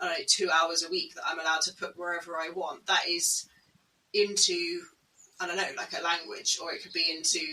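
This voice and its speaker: A woman with a British accent at a fairly quick pace, her loudness swinging widely. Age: 30s. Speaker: podcast co-host on home education. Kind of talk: casual conversation.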